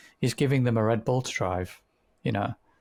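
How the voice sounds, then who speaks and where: With a British accent, a man talks at a fairly quick pace in a medium pitch with ordinary pitch variation, recorded very cleanly against a silent background with a dry, close sound and no echo. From Britain. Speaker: podcast co-host. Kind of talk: casual chat.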